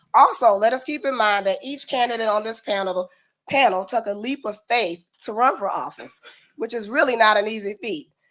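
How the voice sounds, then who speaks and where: A woman speaks in a Southern US accent. Her voice is fairly high, with ordinary pitch variation. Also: fairly quick pace. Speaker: event organizer. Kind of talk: reading aloud. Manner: formal.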